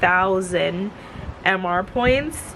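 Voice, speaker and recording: Noticeable background noise sits behind a woman who speaks at a very slow pace, with medium pitch and ordinary pitch variation. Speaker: lifestyle vlogger. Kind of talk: casual vlog talk. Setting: outdoors.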